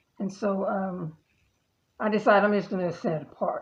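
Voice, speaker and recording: The speaker is a woman with vocal fry. Her pace is moderate. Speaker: vlogger. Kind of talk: casual monologue. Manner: hesitant, with fillers.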